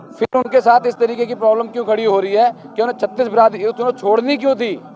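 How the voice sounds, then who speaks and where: There is noticeable background noise behind a man whose pitch is extremely high. He keeps a moderate pace and fairly even intonation. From Delhi (Badarpur). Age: young. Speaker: election candidate. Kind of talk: interview.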